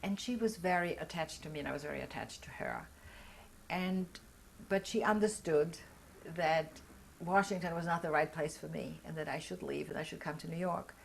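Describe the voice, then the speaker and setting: With a German-speaking European accent, a woman talks at a fairly quick pace in a fairly low pitch, her intonation fairly even and broken by long, frequent pauses. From Austria and Belgium. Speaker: Holocaust survivor. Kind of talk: oral history interview.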